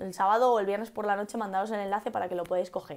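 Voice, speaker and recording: Against a quiet background, a woman speaks in an animated tone with a Castilian accent. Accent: Castilian Spanish (central Spain). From Spain, Cuenca; Spain. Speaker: English teacher. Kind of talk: live-stream English lesson. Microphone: earbuds.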